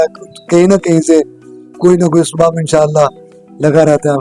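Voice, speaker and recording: A man's high, flat, monotone voice, dry and close with no echo, over background music. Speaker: card shop owner. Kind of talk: interview answer. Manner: nostalgic.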